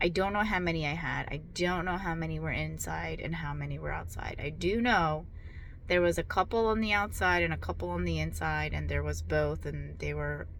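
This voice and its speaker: Room echo can be heard. The delivery keeps a moderate pace. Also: woman. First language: not English. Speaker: vlogger sharing surgery recovery. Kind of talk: casual video diary. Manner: halting, many fillers.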